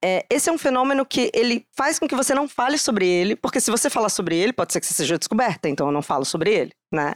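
With very wide pitch swings, a woman talks at a fairly quick pace, the sound dry and close with no echo. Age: 30s. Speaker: psychologist, diversity and inclusion specialist. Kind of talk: live podcast conversation. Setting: stage with live audience.

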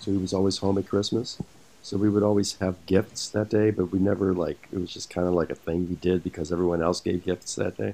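A man speaks in a plain, everyday voice. His pace is fairly quick. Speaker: actor. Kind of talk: casual chat. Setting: video call.

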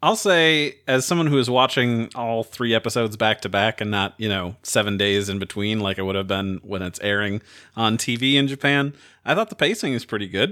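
Ordinary pitch variation and a fairly quick pace mark this man's delivery in an ordinary speaking voice. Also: medium pitch for a man. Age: 30s. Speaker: podcast host. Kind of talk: casual chat.

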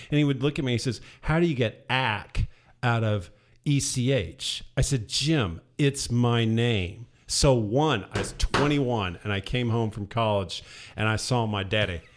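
The recording is very clean, with a silent background. A man speaks at a moderate pace, with a medium pitch and ordinary pitch variation. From southern Indiana. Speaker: tenured English professor. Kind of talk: casual chat. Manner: animated.

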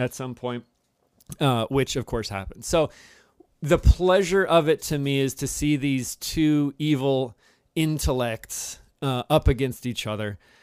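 In a very clean recording with a silent background and a dry, close sound with no echo, a man with a Midwestern American accent speaks fairly slowly at a fairly high pitch with ordinary pitch variation. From Cincinnati, Ohio (US Midwest). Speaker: podcast co-host, English professor. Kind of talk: casual chat.

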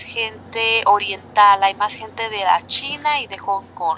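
Over noticeable background noise, the speech comes at a fairly slow pace with ordinary pitch variation. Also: woman. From Mexicali, Baja California, Mexico. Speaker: Mexican immigrant community volunteer. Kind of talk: interview.

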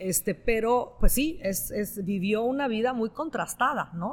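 With an Italian accent, a woman speaks at a fairly slow pace with hardly any pauses, her fairly high, somewhat breathy voice carrying lively intonation. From northern Italy. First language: Italian (speaking Spanish). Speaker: novelist. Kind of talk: interview. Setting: live event with audience.

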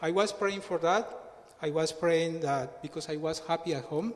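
With a Colombian accent, a man talks in a fairly high pitch with ordinary pitch variation. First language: Spanish. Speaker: church member. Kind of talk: testimony. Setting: church.

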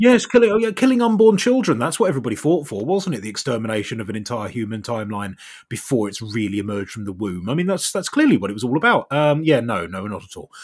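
With an English accent, a man talks at a very fast pace with hardly any pauses, his pitch swinging very widely and his loudness shifting a lot. The recording is very clean, with a silent background. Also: medium pitch for a man. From Southeast England. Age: 30s. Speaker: TikTok commentator. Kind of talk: conversational interview. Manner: wry, self-deprecating.

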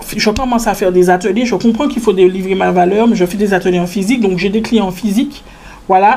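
A woman talks at a very fast pace with ordinary pitch variation as noticeable background noise plays behind her. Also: medium pitch for a woman. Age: 20s. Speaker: entrepreneur. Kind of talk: casual interview.

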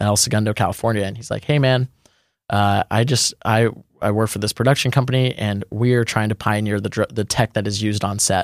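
An American-accented man with an ordinary speaking voice, fairly low pitch, fairly even intonation and a fairly quick pace, on a very clean recording with a silent background. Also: dry, close sound with no echo. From Texas. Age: 20s. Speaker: drone pilot. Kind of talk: casual interview. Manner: casual, filler-heavy.

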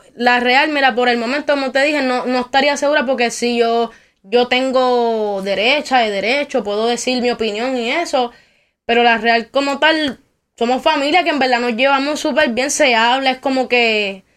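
Fairly even intonation at a moderate pace on a very clean recording with a silent background. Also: woman, high pitch for a woman. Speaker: rapper. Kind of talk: interview.

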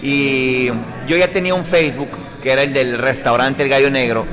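Over noticeable background noise and audible room echo, a man speaks at a moderate pace with fairly high pitch and fairly even intonation. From Sonora, Mexico (Ciudad Obregón). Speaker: radio presenter. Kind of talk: casual interview.

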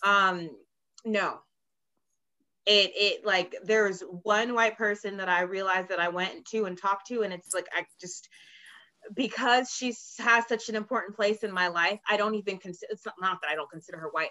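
Using fairly even intonation, a woman with an unremarkable speaking voice talks at a medium pitch and a moderate pace. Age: 30s. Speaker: guest sharing personal experiences. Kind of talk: casual chat.

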